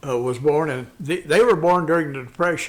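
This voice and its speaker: A man with a Midwestern US accent and ordinary pitch variation. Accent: rural Midwestern American. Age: 70s. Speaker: Vietnam War veteran and small-town businessman. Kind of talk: casual interview conversation. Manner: talkative.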